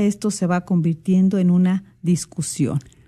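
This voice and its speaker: A somewhat breathy woman's voice with a dark, mellow tone. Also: quiet background. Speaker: radio co-host. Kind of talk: religious radio talk.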